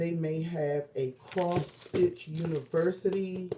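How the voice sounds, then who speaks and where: At a very slow pace, a woman speaks in a somewhat breathy, fairly low voice. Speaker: quilting and crafts vlogger. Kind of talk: casual livestream chat. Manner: hesitant, many fillers.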